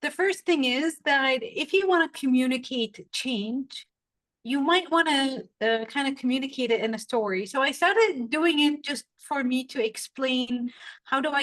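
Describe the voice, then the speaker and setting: Her voice is high, and she speaks with a Saudi accent. The woman talks at a fairly slow pace with lively intonation. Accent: Saudi Arabian English. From Saudi Arabia. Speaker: storytelling coach. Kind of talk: podcast interview.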